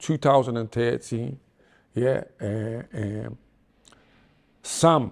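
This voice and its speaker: A man with a Liverpool accent, on a very clean recording with a silent background. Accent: Scouse (Liverpool). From Liverpool, England. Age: 60s. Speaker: reformed gangster turned preacher. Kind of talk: podcast interview. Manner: animated.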